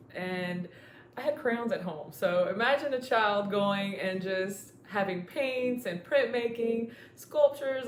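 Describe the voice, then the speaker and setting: Amid audible room echo, a woman with a Spanish accent speaks at a moderate pace with lively intonation. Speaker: former club member, muralist. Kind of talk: testimony.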